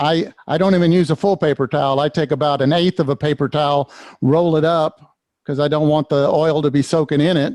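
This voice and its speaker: At a moderate pace, a man with a fairly high pitch and fairly even intonation talks in an unremarkable speaking voice, the sound dry and close with no echo. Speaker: woodturning demonstrator. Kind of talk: tutorial.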